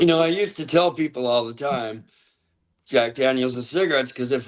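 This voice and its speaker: Using a plain, everyday voice, someone talks fairly quickly, with pitch rising and falling in an ordinary way. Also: man. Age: 60s. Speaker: metal band singer. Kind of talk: interview.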